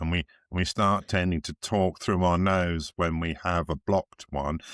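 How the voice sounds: A man's put-on character voice, very deep and low in pitch, nasal and monotone with flat intonation, at a moderate pace, in a very clean, silent recording with a dry, close sound and no echo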